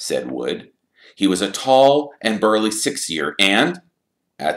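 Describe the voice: This is plain reading aloud with lively intonation over a quiet background.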